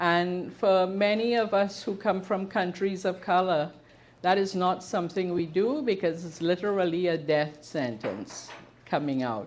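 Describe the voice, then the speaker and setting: A woman with a Trinidadian accent, medium pitch, ordinary pitch variation and a fairly slow pace. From Trinidad and Tobago. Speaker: queer history presenter, activist. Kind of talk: talk to a live audience. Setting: bookshop with audience.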